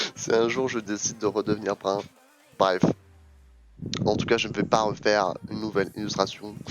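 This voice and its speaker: A man speaks at a moderate pace in a fairly low, flat monotone, with long and frequent pauses. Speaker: streamer. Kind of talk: casual chat. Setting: live stream.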